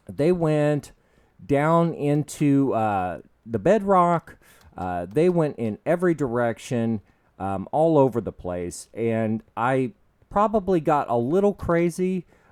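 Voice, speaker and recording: A man's fairly high voice with very wide pitch swings, at a very slow pace, in a dry, close sound with no echo. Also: very clean recording, silent background. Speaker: gaming YouTuber. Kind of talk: let's play commentary. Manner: hesitant, many fillers.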